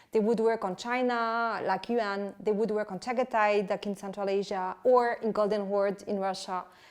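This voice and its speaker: A woman speaks in a French accent at medium pitch and a moderate pace. Her intonation is monotone and flat, with hardly any pauses. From France. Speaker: historian and author. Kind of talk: interview. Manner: halting.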